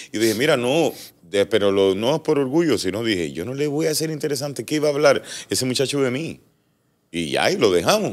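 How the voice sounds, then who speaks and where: With vocal fry and very wide pitch swings, a man talks at a fairly quick pace. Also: medium pitch for a man. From Cuba. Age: 40s. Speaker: entertainer; interview guest. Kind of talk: casual interview. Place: studio. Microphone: studio mic.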